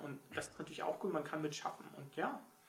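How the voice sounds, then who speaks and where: There is noticeable background noise. A man speaks at a fairly high pitch. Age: 40s. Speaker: novelist. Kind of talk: casual chat.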